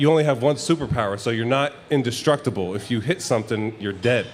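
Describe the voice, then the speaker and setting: A man's fairly quick speech, with ordinary pitch variation, comes through noticeable background noise. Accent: American. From South Jersey, US (Jersey Shore). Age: 20s. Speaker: professional football player. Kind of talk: casual interview chat. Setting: live show with audience in a bar.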